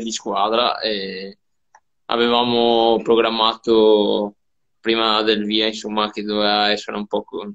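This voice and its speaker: Fairly low-pitched man at a fairly slow pace, with monotone, flat intonation and a quiet background. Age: 20s. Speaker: professional cyclist. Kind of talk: interview. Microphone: video call.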